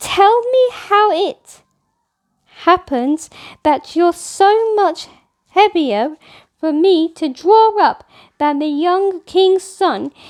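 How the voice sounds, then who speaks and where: In a put-on character voice, a woman speaks at an extremely high pitch, very slowly, with lively intonation and long, frequent pauses. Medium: read story.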